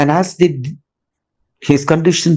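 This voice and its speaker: A man speaks at a fairly slow pace, his voice somewhat breathy. The background is quiet. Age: 60s. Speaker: caregiver and retired executive. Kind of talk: testimony.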